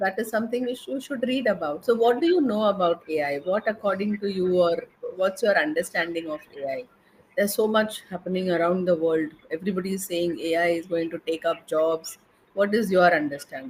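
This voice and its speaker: Lively intonation and a fairly quick pace mark this speaker with an Indian accent. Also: woman, medium pitch for a woman. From India, Mumbai. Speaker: English and soft skills trainer. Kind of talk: conversation practice interview.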